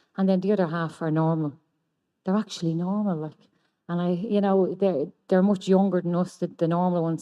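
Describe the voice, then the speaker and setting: A woman speaks with an Irish accent and a fairly low pitch. Her intonation stays fairly even. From Ireland. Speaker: recovering addict sharing at a convention. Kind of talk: testimony.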